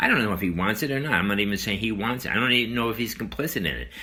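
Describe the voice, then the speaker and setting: A man talks with an American accent in a bright, sharp tone. His intonation is lively, and vocal fry is present. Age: 70s. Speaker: podcast host. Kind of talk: political commentary monologue. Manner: hesitant, with fillers and repetitions.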